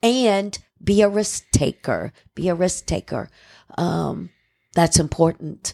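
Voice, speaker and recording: A woman with an American accent speaks very slowly in a fairly low pitch and a dark, mellow tone, leaving long, frequent pauses, with ordinary pitch variation and a dry, close sound with no echo. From Cincinnati, Ohio. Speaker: mayor, former therapist. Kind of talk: casual interview chat. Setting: studio.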